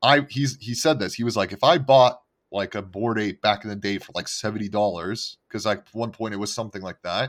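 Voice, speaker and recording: A man's normal speaking voice at a fairly quick pace with ordinary pitch variation, in a very clean recording over a silent background. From Montreal, Canada. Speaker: NFT podcast co-host. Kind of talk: casual chat.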